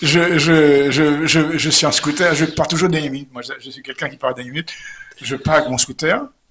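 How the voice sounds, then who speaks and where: A fairly high-pitched man talking fairly quickly, his loudness swinging widely, over noticeable background noise. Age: 70s. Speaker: comedian. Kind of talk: interview storytelling. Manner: animated; halting, repetitive.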